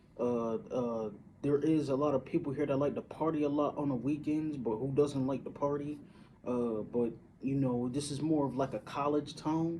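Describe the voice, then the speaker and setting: With an American accent, a man speaks at a moderate pace in a dark, mellow tone, fairly high in pitch with fairly even intonation. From Syracuse, upstate New York. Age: 30s. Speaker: vlogger. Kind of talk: casual monologue. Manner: halting, many fillers.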